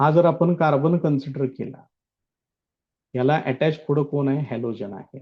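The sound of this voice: Delivered at a fairly slow pace, a man's speech shows ordinary pitch variation. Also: fairly high pitch for a man.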